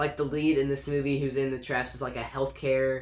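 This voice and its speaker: A man at a medium pitch and a fairly quick pace, with audible room echo and noticeable background noise. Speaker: YouTube movie reviewer. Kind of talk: casual movie ranking monologue. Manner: fast; casual, many fillers.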